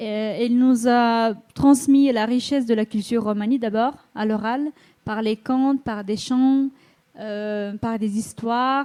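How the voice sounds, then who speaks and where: A woman talks at a very slow pace in a dark, mellow tone, her fairly high pitch held to fairly even intonation. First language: Romani (speaking French). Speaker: school mediator. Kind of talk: conference panel talk. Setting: conference hall with audience. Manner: halting, many hesitations.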